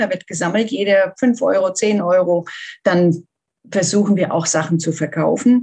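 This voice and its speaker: Somewhat breathy, a woman speaks at a medium pitch with lively intonation. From Germany. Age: 50s. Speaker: volunteer seamstress for wildlife charity. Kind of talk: interview.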